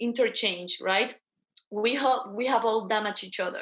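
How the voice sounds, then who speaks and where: This woman's fairly high voice carries a Guatemalan accent and fairly even intonation. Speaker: social entrepreneur. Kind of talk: interview.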